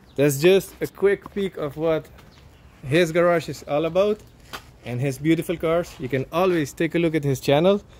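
The voice has a slightly mellow tone and ordinary pitch variation. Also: man, fairly high pitch for a man, moderate pace.

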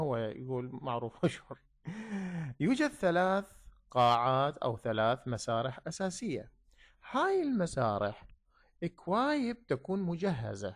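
In a very clean recording with a silent background, a man with a fairly high voice speaks at a very slow pace, with very wide pitch swings and long, frequent pauses. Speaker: English teacher. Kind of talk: lecture.

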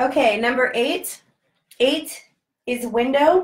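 Ordinary pitch variation at a fairly slow pace. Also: woman. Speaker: Hebrew language teacher. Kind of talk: lesson.

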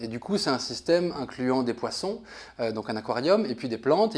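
This man speaks at a fairly quick pace with a medium pitch. His intonation is lively. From France. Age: 30s. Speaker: designer; interviewee. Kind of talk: interview. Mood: thoughtful, relaxed. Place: home room. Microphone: lapel.

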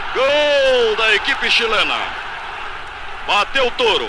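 A man speaks at a fairly slow pace with an extremely high pitch and ordinary pitch variation, over noticeable background noise. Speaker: radio sports commentator. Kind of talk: live radio football match commentary. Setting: vintage 1962 radio broadcast recording.

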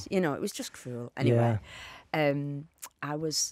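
With a northern English accent, a woman talks at a moderate pace against a quiet background, the sound dry with no echo. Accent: regional northern English. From England. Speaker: actor. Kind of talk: podcast interview answer. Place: studio. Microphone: studio mic.

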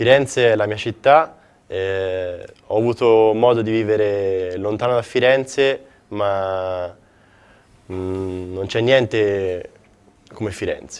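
A man's fairly low-pitched voice with ordinary pitch variation, at a very slow pace with long, frequent pauses. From Florence, Italy. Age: 20s. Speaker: basketball player. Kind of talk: interview.

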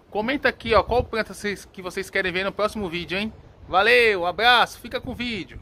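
Upbeat, animated male voice, raised and projected, high-pitched and fairly quick, with music in the background. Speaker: plant seller and vlogger. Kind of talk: casual vlog chat. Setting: outdoors at a busy flower market, walking with camera. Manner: animated, fast, upbeat, sales-patter. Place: market. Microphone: phone near.

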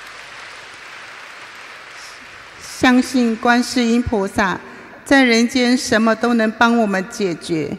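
With crowd noise behind her, a woman speaks very slowly, her pitch varying in an ordinary way. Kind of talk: read personal testimony speech. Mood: earnest, emotional. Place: hall. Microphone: podium.

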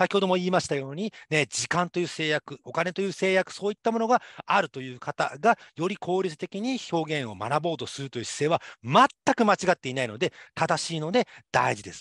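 Against a quiet background, a man talks at a fairly quick pace and high pitch with lively intonation. His loudness swings widely, and the sound is dry with no echo. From Japan, Saitama. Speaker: university lecturer. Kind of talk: lecture. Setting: online class. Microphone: webcam.

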